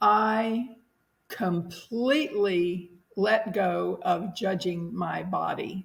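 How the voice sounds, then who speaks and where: Somewhat breathy woman's voice at a medium pitch and a very slow pace. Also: ordinary pitch variation. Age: 70s. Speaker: interview guest sharing life story. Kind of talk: podcast interview.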